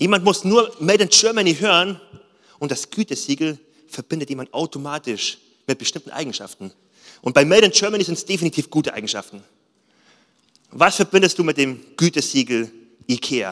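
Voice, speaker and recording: With long, frequent pauses, a man talks at a fairly quick pace in a fairly high, animated voice with vocal fry and very wide pitch swings. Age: 30s. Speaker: pastor. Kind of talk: sermon.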